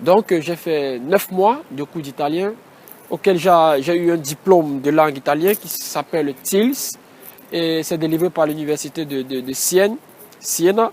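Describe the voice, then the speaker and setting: Talking at a fairly slow pace with a Cameroonian accent, a man leaves long, frequent pauses. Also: fairly high pitch for a man, ordinary pitch variation, big swings in loudness. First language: Batoufam (speaking French). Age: 20s. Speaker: engineering student. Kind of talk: interview. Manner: halting.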